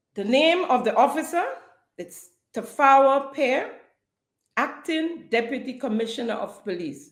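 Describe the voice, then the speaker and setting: A woman's high-pitched, passionate voice with lively intonation, a fairly slow pace, long and frequent pauses, and audible room echo. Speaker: podcast host. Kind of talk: political commentary podcast. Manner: passionate, some stuttering.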